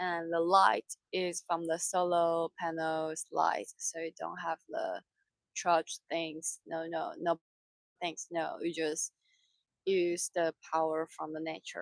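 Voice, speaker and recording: A woman talks at a very slow pace with a Mandarin accent. The sound is dry and close, with no echo. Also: very clean recording, silent background. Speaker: sailing crew member. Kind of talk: casual chat. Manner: halting.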